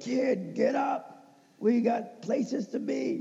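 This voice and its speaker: A raspy, fairly high-pitched put-on character voice at a very slow pace. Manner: gruff, commanding.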